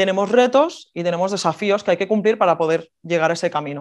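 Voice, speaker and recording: A woman talks at a fairly quick pace with lively intonation and a medium pitch. Hers is an unremarkable speaking voice. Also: quiet background. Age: 30s. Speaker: water polo player. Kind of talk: talk to an audience. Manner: casual, informal.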